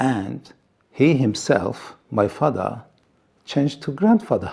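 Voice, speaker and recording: In a dark, mellow tone, a man speaks at a very slow pace. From Iran. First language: Assyrian. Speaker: TV presenter and pastor. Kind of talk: testimony. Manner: halting.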